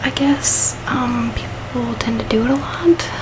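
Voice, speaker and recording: Noticeable background noise sits behind a soft-spoken woman. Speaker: book reviewer. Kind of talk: casual talk to camera.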